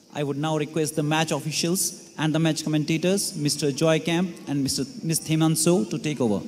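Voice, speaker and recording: A man talks at a moderate pace with hardly any pauses in a plain, everyday voice. His pitch is fairly high and his intonation fairly even. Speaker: ceremony emcee. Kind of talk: formal ceremonial stadium announcing. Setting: stadium PA system with crowd. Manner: formal, polished, ceremonious. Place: stadium.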